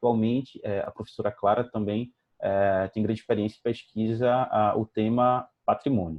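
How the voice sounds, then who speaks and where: A man speaks at a moderate pace in an unremarkable speaking voice. His pitch sits in the middle, and his intonation stays fairly even. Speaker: anthropologist, event moderator. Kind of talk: formal introduction of a speaker.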